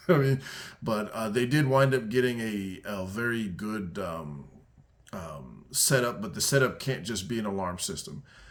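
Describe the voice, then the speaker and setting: A man at medium pitch with lively intonation and audible room echo. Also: moderate pace. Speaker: security consultant. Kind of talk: casual commentary video. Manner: halting, many fillers and restarts.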